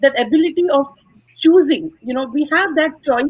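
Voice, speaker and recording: At a fairly quick pace, a woman says her lines. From India. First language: not English. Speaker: guest speaker on wellness. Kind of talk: live stream panel conversation.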